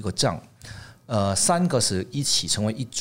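A man speaks at a moderate pace with a fairly low pitch and very wide pitch swings. The recording is very clean with a silent background. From Hong Kong and Canada. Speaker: tableware designer. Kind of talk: interview. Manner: halting.

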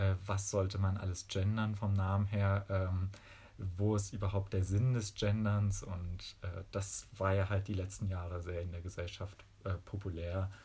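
This man has a fairly low pitch, a somewhat breathy, dark and mellow tone, and a flat, monotone delivery. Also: fairly slow pace. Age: 20s. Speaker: physics student and dance teacher. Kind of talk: interview.

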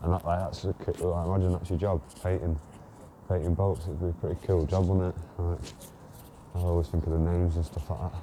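Very deep and low, a man's dark, mellow, somewhat breathy voice runs at a very fast pace in a flat monotone, broken by long, frequent pauses. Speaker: podcaster / solo vlogger. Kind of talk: solo casual monologue, recorded while walking. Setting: outdoors, walking around the docks. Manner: casual, rambling, conversational.

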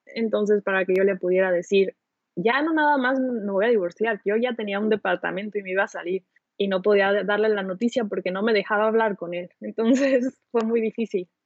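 With a Mexican accent, a woman talks at a fairly quick pace in a medium pitch, with ordinary pitch variation. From Mexico. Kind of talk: casual chat.

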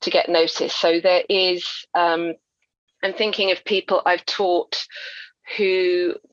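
The speech is monotone and flat, with a southern English accent and a fairly slow pace. The sound is dry and close, with no echo. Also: woman. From Essex, England. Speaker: crime novelist. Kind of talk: interview.

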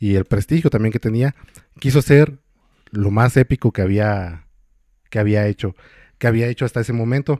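The voice has a dark, mellow tone, ordinary pitch variation and a moderate pace broken by long, frequent pauses, in a dry, close recording with no echo that is very clean against a silent background. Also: man, medium pitch for a man. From Mexico, Michoacán. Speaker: podcast co-host. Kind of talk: casual storytelling chat. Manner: hesitant, many fillers.

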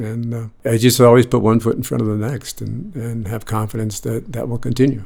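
A man with an American accent speaks in a normal speaking voice at medium pitch and a fairly quick pace, with fairly even intonation, big swings in loudness and hardly any pauses. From US, North Shore of Boston. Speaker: lighting designer. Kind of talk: interview. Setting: on location.

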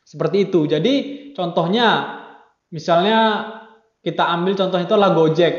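With audible room echo, the speech comes at a moderate pace with very even loudness, fairly even intonation and long, frequent pauses. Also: man, high pitch for a man. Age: 20s. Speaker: university student. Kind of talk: student discussion podcast. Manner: hesitant with many fillers.

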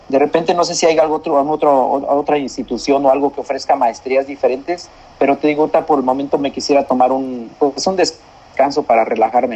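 Over noticeable background noise, a man with a fairly high pitch talks at a fairly quick pace with fairly even intonation. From central Mexico, San Juan del Río (Querétaro). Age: 40s. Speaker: migrant worker and distance-learning university graduate. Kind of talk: interview. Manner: halting, many repeated words.

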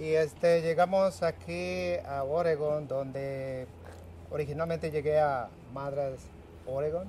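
A man with a dark, mellow tone, somewhat breathy, speaking very slowly with lively intonation. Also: fairly high pitch for a man. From Mexico, Michoacán. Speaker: recycling center worker. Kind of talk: interview. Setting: recycling center. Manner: halting.

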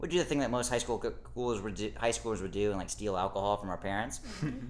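A man with an American accent talks at a very fast pace, with ordinary pitch variation, vocal fry and audible room echo. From Texas, Dallas suburbs. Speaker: podcast guest, former oil industry worker. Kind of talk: casual chat.

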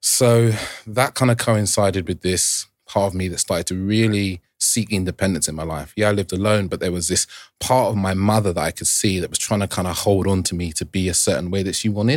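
In a very clean recording with a silent background, a man talks at a fairly quick pace in a fairly low pitch with ordinary pitch variation. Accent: London. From London. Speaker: relationship coach. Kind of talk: round-table discussion.

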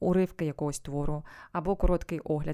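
A woman's fairly low-pitched voice has a dark, mellow tone on a very clean recording with a silent background. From eastern Ukraine, Sievierodonetsk. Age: 30s. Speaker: voice-over artist and voice coach. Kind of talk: interview.

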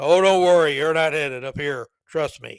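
A booming, put-on character voice from a man, fairly high in pitch, at a moderate pace.

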